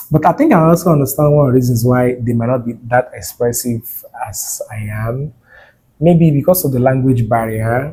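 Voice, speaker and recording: A man speaks at a moderate pace in a medium-pitched, somewhat breathy voice with a dark, mellow tone and ordinary pitch variation. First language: not English. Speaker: nursing student vlogger. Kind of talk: personal vlog monologue. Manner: expressive.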